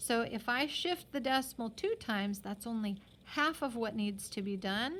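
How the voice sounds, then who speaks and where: A woman with a normal speaking voice, fairly high pitch, moderate pace and lively intonation. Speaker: math teacher. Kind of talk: tutorial.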